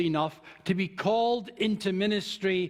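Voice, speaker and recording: This man talks at a very slow pace with a Scottish accent. His pitch varies in an ordinary way. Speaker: minister. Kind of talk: sermon.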